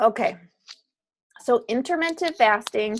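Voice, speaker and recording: Lively intonation runs through a woman's speech. She uses a normal speaking voice. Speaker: fitness coach. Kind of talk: online course lecture.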